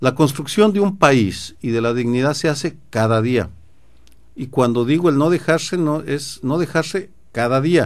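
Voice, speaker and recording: It's an unremarkable speaking voice: a man with a fairly high pitch. He speaks at a fairly slow pace with lively intonation. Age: 60s. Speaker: political analyst. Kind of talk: radio interview.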